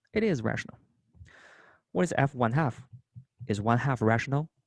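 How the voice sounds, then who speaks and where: A man with a non-native accent, ordinary pitch variation and a moderate pace, in a dry, close sound with no echo. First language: not English. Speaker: math instructor. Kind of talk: lecture.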